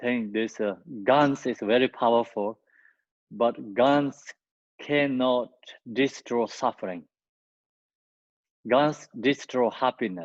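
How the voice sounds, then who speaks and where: In a non-native accent, a man speaks at a medium pitch and a very slow pace, with long, frequent pauses. The sound is dry and close with no echo, against a quiet background. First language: not English. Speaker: Buddhist teacher. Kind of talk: dharma teaching.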